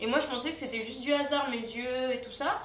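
Delivered at a fairly quick pace with fairly even intonation, the speech carries audible room echo and light background noise. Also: woman. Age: 20s. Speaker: mother with a rare genetic condition; interviewee. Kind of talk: personal testimony interview. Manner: hesitant with fillers. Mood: reflective, personal. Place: studio.

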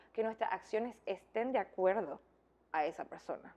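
Her pitch varies in an ordinary way as this woman talks at a moderate pace. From Nicaragua. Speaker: beauty queen and model; interview guest. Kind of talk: interview. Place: home room.

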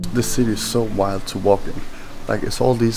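A man with a fairly low pitch, monotone and flat, at a moderate pace over noticeable background noise. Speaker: street photographer vlogger. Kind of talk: casual vlog chat. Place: street. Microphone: phone near.

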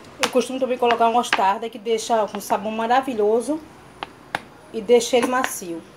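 Speaking at a fairly quick pace yet with long, frequent pauses, a woman with a fairly high voice comes through over noticeable background noise. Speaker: cooking vlogger. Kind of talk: cooking tutorial vlog. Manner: fast; animated. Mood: cheerful, warm. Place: home room.

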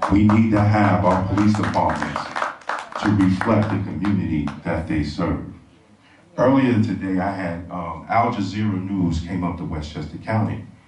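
With music in the background and audible room echo, a man speaks at a moderate pace in a very deep, low pitch with ordinary pitch variation. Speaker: speaker. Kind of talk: public speech. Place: stage.

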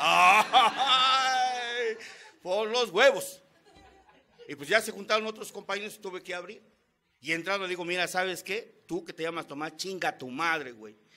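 In a Mexican accent, a man uses a raised, projected voice, high in pitch, with an animated tone and lively intonation. He goes at a fairly slow pace, and his loudness swings widely. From Mexico. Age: 50s. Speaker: Alcoholics Anonymous member. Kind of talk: testimony. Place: meeting room. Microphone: podium.

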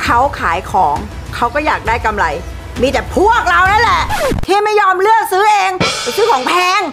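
The pitch of this woman's voice is extremely high. Clear music plays in the background. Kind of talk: scolding, animated family talk. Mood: scolding, sarcastic. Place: home room.

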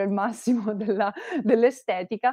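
In a dry sound with no echo and a quiet background, a woman talks at a moderate pace with ordinary pitch variation. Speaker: presenter. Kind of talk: explanatory talk on Japanese clothing. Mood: friendly, light laughs. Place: home room. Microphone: earbuds.

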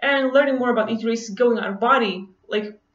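A woman's high-pitched voice with a non-native accent and ordinary pitch variation, some audible room echo and a quiet background. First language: not English. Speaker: vlogger. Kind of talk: casual monologue to camera, personal story. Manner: casual, hesitant with many fillers. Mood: relaxed, enthusiastic storytelling. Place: home room. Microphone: webcam.

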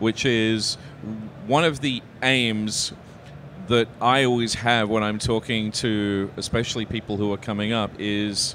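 A man talks at a medium pitch. His tone is fairly bright.

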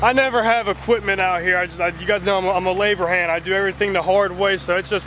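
Over clear background noise, a man talks at a fast pace with a high pitch and fairly even intonation.

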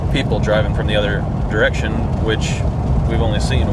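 Loud background noise surrounds a man, with a dry sound and no echo. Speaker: travel vlogger. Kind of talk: casual vlog chat. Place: car. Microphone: phone near.

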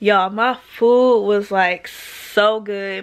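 A woman is the speaker. Ordinary pitch variation marks her voice. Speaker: vlogger. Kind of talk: casual vlog chat. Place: home room. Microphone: phone near.

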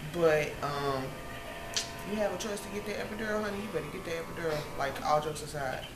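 Loud background noise fills the clip. Over it, a woman talks at a fairly quick pace. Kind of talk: casual vlog chat. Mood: relaxed, joking, candid. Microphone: phone near.

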